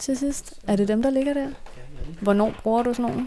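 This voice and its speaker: A woman talks with ordinary pitch variation. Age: 20s. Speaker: podcast host. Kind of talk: casual chat.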